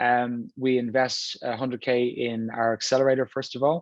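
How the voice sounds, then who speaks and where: In an Irish accent, a man talks at a medium pitch. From Ireland, Dublin. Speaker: venture capital investor. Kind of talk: panel discussion.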